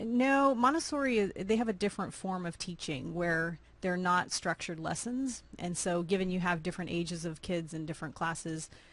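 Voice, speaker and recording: In an American accent, a woman with an ordinary speaking voice and fairly low pitch uses lively intonation against a quiet background. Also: fairly quick pace, hardly any pauses. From Austin, Texas. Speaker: nonprofit founder. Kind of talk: interview.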